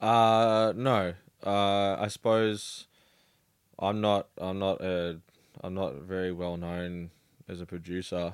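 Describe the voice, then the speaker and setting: With an Australian accent, a man speaks at a very slow pace with long, frequent pauses, his pitch very deep and low, on a very clean recording with a silent background. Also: fairly even intonation. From Melbourne, Australia. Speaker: DJ and music producer. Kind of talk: casual interview chat. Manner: halting, many fillers.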